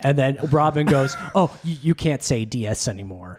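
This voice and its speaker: A man talks with a fairly high pitch and very wide pitch swings. Music plays in the background. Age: 40s. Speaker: comedian. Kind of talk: casual chat.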